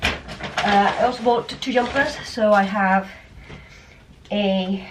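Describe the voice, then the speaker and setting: A woman with an English accent, monotone and flat, over noticeable background noise. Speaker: vlogger. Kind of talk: casual vlog talk to camera. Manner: rambling, filler-heavy.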